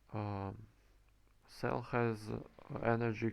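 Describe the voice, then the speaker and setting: This man has a non-native accent and a fairly low pitch. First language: not English. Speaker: game developer and commentator. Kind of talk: gameplay commentary. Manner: halting, many fillers.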